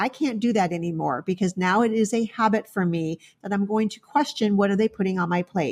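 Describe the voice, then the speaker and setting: A woman at a medium pitch speaks at a fairly quick pace with hardly any pauses, her somewhat breathy voice showing ordinary pitch variation in a very clean, dry, close recording with a silent background and no echo. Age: 60s. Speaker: veterinarian. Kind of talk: interview.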